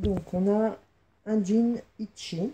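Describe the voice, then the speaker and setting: Her voice has a dark, mellow tone and sounds somewhat breathy. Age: 50s. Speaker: fashion vlogger. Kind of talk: casual unboxing vlog. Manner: hesitant, many fillers.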